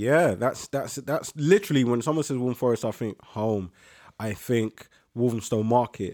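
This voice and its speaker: A man speaks with a London accent at a medium pitch and a moderate pace, with ordinary pitch variation and a dark, mellow tone. The recording is very clean and dry, with a silent background and a close sound with no echo. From East London, Leytonstone. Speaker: podcast co-host. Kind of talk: casual chat.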